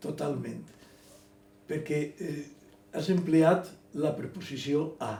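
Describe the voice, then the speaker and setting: A man speaks at a very slow pace with long, frequent pauses and fairly even intonation. His pitch is fairly high, his voice shows vocal fry, and room echo is audible. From Elche, Valencian Community, Spain. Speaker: writer. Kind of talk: interview. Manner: halting, repetitive.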